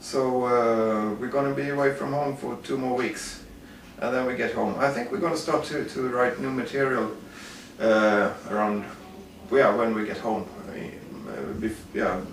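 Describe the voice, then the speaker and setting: With a Swedish accent, a man speaks at a fairly slow pace in a medium pitch with ordinary pitch variation. Noticeable background noise and audible room echo accompany him. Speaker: metal musician. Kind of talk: interview. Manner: halting.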